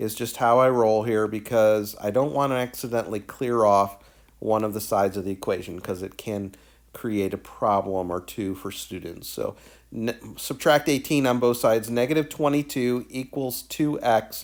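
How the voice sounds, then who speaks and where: Recorded very cleanly against a silent background, a man speaks at a moderate pace with a medium pitch and ordinary pitch variation. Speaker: math teacher. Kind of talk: tutorial. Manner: animated.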